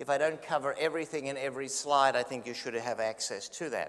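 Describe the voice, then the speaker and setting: With an Australian accent, a man speaks very fast in a fairly high voice with fairly even intonation. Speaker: neonatologist, physician lecturer. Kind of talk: lecture.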